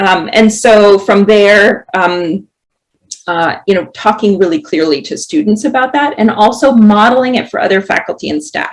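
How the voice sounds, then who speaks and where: At a moderate pace, a woman with a plain, everyday voice talks in a fairly high register, her intonation lively. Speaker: professor. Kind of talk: panel presentation.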